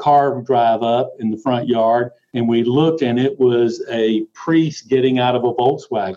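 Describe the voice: This man speaks at a fairly slow pace with a medium pitch, fairly even intonation and a dark, mellow tone.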